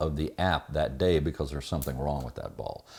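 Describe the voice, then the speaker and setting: Vocal fry marks a man's fairly quick speech, which has ordinary pitch variation on a very clean recording with a silent background. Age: 60s. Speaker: sailing vlogger. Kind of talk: casual vlog talk to camera.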